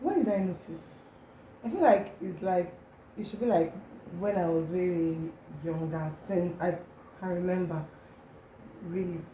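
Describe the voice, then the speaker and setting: Audible room echo surrounds a woman's voice. She keeps a moderate pace with long, frequent pauses. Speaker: makeup artist. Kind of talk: casual chat. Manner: mild stutter when excited.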